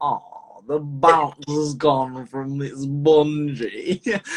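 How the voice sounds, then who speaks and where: Putting on a character voice in a northern English accent, a man speaks at a very slow pace and a fairly high pitch. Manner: deadpan.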